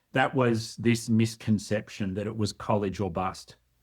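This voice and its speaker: A man speaks at a fairly low pitch with a slight Australian accent. His pace is fairly slow. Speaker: workforce development expert. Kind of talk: podcast interview.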